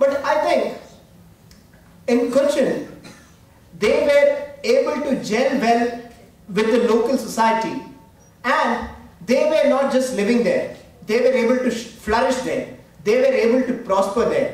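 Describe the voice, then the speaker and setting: A man with a Keralan accent speaks fairly slowly at an extremely high pitch, with fairly even intonation and long, frequent pauses. Audible room echo and noticeable background noise are present. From India, Kerala. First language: Malayalam. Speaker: diplomat. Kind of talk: formal speech. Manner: halting.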